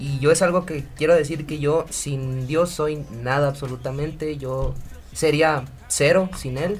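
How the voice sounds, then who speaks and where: A man with an unremarkable speaking voice speaks at a fairly high pitch with fairly even intonation. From Ciudad Obregón, Sonora, Mexico. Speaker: urban music singer. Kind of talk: radio interview.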